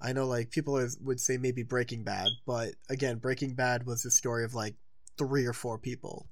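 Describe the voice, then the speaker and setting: Moderate speed, monotone, flat intonation and a medium-pitched male voice. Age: 20s. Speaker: podcast co-host. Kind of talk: casual chat.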